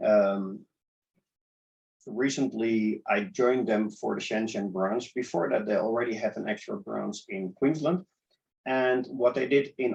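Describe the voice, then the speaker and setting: The man's pace is fairly slow. He speaks at medium pitch with ordinary pitch variation. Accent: Dutch. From Netherlands, Amsterdam. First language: Dutch. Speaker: startup accelerator organizer. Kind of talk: interview.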